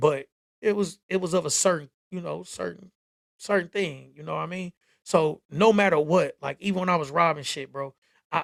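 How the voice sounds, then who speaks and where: Heard in a dry, close sound with no echo, a man with an American accent and an unremarkable speaking voice talks at a moderate pace with ordinary pitch variation. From Michigan, Benton Harbor. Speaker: livestreamer, content creator. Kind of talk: casual storytelling livestream.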